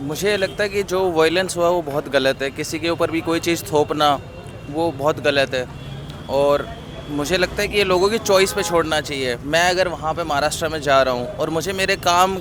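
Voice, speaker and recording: A man talks at a moderate pace in a high voice. His pitch variation is ordinary, and there is noticeable background noise. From Haryana, India. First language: Haryanvi (speaking Hindi). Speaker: student interviewee on the street. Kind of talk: street interview.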